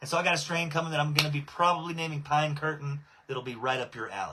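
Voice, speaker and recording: Speaking with a Texan accent, a man uses a fairly high pitch with ordinary variation. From Southeast Texas. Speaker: cannabis breeder and livestream host. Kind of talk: casual livestream chat. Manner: casual, filler-heavy.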